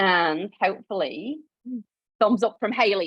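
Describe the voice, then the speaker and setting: A woman speaks at a moderate pace with a Yorkshire accent. Her intonation is lively. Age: 30s. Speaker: clinical nutritionist. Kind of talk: live webinar presentation. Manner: casual, animated.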